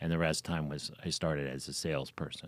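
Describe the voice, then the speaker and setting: A man with a Philadelphia accent is captured in a very clean recording with a silent background. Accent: Philadelphia-area American. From Pennsylvania, Philadelphia suburbs (King of Prussia). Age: 70s. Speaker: real estate broker. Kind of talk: interview. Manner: hesitant, many fillers.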